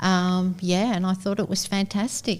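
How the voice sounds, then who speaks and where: A somewhat breathy woman at medium pitch, on a very clean recording with a silent background. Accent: Australian. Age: 60s. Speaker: long-time gym member. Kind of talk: casual chat.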